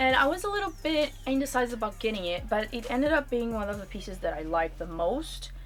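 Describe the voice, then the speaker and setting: A woman talks at a fairly quick pace. Behind her, music plays. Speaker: cabin crew, fashion YouTuber. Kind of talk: casual talk to camera, clothing haul.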